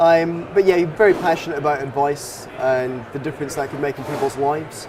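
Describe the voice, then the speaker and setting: A man with a slight Scottish accent talks at a moderate pace with ordinary pitch variation. Noticeable background noise sits behind him. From Scotland, Dundee. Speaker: financial advisor. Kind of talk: interview.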